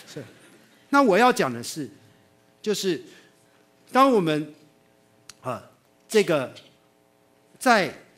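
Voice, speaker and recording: Speaking slowly-ish, at a fairly slow pace, a man talks with a Taiwanese accent. His high voice makes very wide pitch swings. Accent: Taiwanese Mandarin. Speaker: animation teacher and video producer; animation teacher. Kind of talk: public talk. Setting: stage with audience. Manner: animated. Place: hall.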